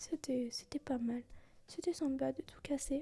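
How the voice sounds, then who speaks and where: Soft-spoken and relaxed, a woman talks at a fairly slow pace in a high-pitched voice with a dark, mellow tone. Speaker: ASMR vlogger / content creator. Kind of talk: soft-spoken ASMR travel vlog. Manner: soft-spoken, relaxed, calm.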